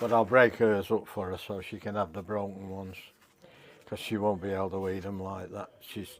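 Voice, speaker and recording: In a Manchester accent, a man with a fairly low pitch speaks at a moderate pace, monotone and flat, with big swings in loudness. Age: 70s. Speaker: retired musician cooking vlogger. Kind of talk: cooking video, casual talk. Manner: halting.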